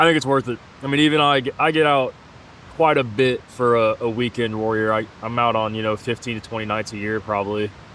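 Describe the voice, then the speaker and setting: The speech moves at a fairly quick pace with ordinary pitch variation over noticeable background noise. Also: man, medium pitch for a man. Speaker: hiking vlogger. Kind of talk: outdoor vlog narration. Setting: outdoors at a backcountry campsite.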